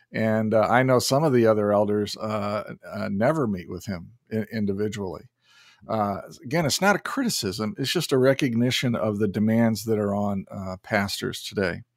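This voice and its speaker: This man's fairly low voice moves at a moderate pace with ordinary pitch variation and big swings in loudness. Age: 60s. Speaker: podcast host. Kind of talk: interview. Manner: halting, many fillers.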